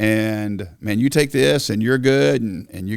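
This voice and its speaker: A man speaks in an unremarkable speaking voice at a medium pitch with ordinary pitch variation, on a very clean recording with a silent background. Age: 60s. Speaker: senior pastor. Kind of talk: casual chat.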